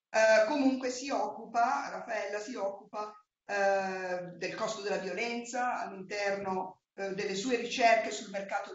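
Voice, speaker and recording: A woman talks at a fairly slow pace with fairly even intonation. Audible room echo and light background noise surround her voice. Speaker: moderator, Italian professor. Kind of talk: panel moderation. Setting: university room with video link. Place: meeting room. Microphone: video call.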